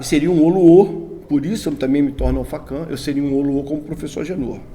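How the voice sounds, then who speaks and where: A very fast, fairly high-pitched man amid noticeable background noise and audible room echo. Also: fairly even intonation. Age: 60s. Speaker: Candomblé religious elder. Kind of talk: interview. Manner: halting.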